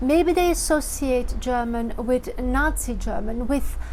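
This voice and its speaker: A woman talks with ordinary pitch variation in a space with audible room echo. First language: Dutch (Flemish). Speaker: vlogger. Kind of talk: vlog monologue.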